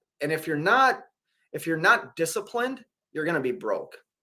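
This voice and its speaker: With a Minnesota accent, a man talks at a high pitch and a moderate pace in a bright, sharp tone, recorded very cleanly against a silent background. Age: 40s. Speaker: truck driver and livestreamer. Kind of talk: casual live stream chat. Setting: hotel room.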